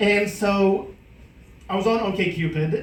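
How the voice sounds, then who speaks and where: A man is speaking. Audible room echo hangs around his voice. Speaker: comedian. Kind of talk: stand-up. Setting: stage with audience. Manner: halting.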